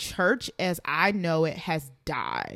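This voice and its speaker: A woman's medium-pitched voice in a bright, sharp tone with ordinary pitch variation at a very slow pace, on a very clean recording with a silent background. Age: 20s. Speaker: podcast co-host. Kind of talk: casual chat.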